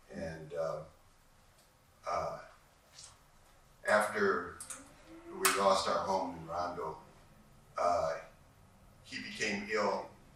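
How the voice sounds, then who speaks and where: Over noticeable background noise and audible room echo, a man with an American accent talks at a very slow pace, with long, frequent pauses and big swings in loudness. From St Paul, Minnesota. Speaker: panelist grandfather. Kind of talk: panel discussion. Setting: library event with audience. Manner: halting.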